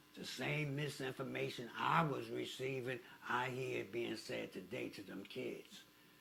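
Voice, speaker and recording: A man talks fairly slowly, and the room echo is audible. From Newark, New Jersey. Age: 70s. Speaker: ex-offender youth mentor. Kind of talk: interview.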